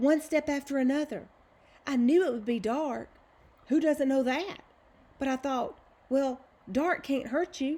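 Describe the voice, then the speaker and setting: A woman puts on a shaky, high-pitched character voice and speaks at a moderate pace. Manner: rambling, breathless.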